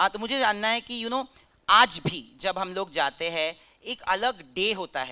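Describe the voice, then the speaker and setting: Raising and projecting his voice, a man speaks in a bright, sharp tone with lively intonation. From Bengal, India. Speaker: interviewer. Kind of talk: interview at film festival.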